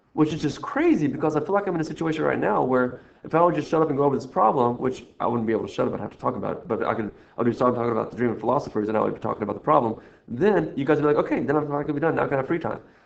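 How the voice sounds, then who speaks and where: A very fast-talking man, fairly high in pitch, with ordinary pitch variation. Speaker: math teacher. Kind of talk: recorded lesson walkthrough. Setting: screen recording. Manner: rambling, playful.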